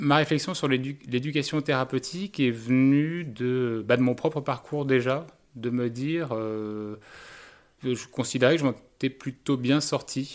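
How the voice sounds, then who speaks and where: Calm, fairly even intonation at a fairly slow pace, on a very clean recording with a silent background. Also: man. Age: 30s. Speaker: patient. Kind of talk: testimony.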